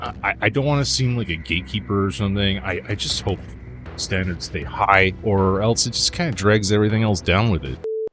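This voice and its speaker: A man with a Canadian accent, fairly low in pitch, at a fairly quick pace with lively intonation over noticeable background noise. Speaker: video game reviewer. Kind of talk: scripted review narration.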